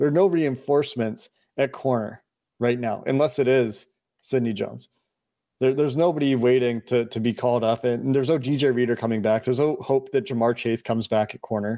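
A man speaks at a fairly quick pace in a medium pitch, his dark, mellow tone captured dry and close with no echo against a quiet background. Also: ordinary pitch variation. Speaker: podcast host. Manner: conversational, analytical.

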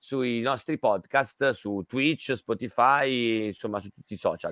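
A man speaks at a moderate pace with a bright, sharp tone. The sound is dry and close with no echo, on a very clean recording with a silent background. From Milan, Italy. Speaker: radio host. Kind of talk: casual radio chat. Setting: radio studio.

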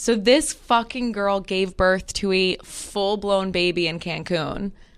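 A woman at medium pitch and a fairly slow pace, with ordinary pitch variation and a plain, everyday voice. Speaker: podcast co-host. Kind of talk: casual chat.

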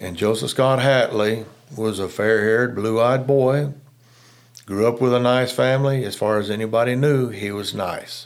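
A man talks at a medium pitch with fairly even intonation. His pace is fairly slow. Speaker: retired investigator. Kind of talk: casual interview.

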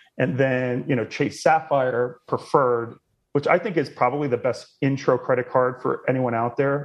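Here a man speaks at a moderate pace. He has an ordinary speaking voice with a medium pitch. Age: 30s. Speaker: travel points expert, website founder. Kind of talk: casual interview chat.

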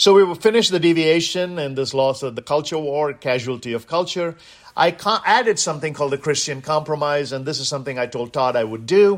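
With an Indian accent, a man speaks in an animated tone at a fairly quick pace. His pitch is fairly high, with ordinary variation. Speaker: guest radio host. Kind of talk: talk radio monologue. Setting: studio.

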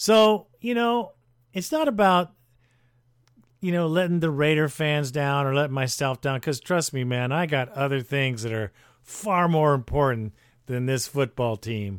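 A man talks with lively intonation and a fairly high pitch. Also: moderate pace. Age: 60s. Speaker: fan podcast host. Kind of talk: casual commentary and call-in show. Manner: animated.

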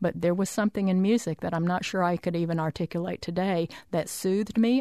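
A woman with an American accent uses a normal speaking voice at a fairly low pitch, with ordinary pitch variation over a quiet background. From Arkansas, US South. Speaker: arts agency chair. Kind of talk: radio interview. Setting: radio studio.

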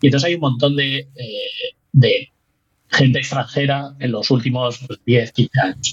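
At a fairly slow pace, a man speaks with a medium pitch, a somewhat breathy voice, fairly even intonation and big swings in loudness. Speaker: physics researcher. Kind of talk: casual interview. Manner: halting.

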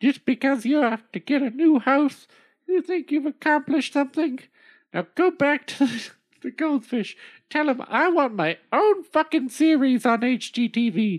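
On a very clean recording with a silent background, a female-sounding, high-pitched, put-on character voice speaks at a moderate pace. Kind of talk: comic overacting. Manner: shrill, scolding, foul-mouthed.

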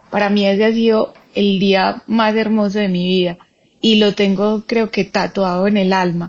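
A woman speaks very slowly in a monotone with flat intonation. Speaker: cyclist and cancer survivor. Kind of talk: casual interview conversation.

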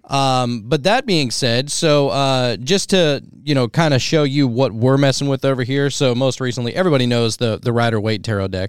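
Against a very clean recording with a silent background, a man with an American accent and an unremarkable speaking voice talks at a medium pitch and moderate pace, with ordinary pitch variation and hardly any pauses. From Pennsylvania. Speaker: podcast host. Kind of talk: casual chat.

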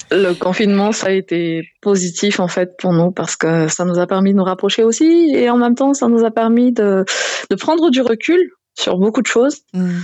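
A woman with a plain, everyday voice speaks at a moderate pace and a medium pitch. Her intonation is lively and her loudness very even. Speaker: soap maker. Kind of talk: casual chat.

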